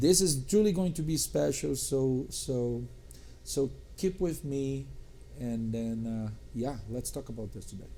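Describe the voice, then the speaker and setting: Lively intonation and big swings in loudness mark this fairly slow speech, delivered in a dark, mellow tone with a strong non-native accent and audible room echo. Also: man, medium pitch for a man. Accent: foreign accent, strong. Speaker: podcast host, tech company executive. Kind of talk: podcast interview.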